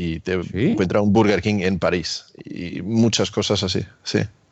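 With a very deep, low pitch and vocal fry, a man talks at a fairly slow pace. His pitch variation is ordinary. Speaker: YouTuber, electric car owner. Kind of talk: casual chat.

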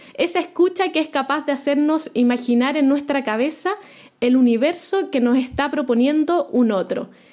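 A woman speaks with a high pitch. Her loudness stays very even. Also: ordinary pitch variation, moderate pace. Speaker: podcast host. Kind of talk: scripted narration; interview.

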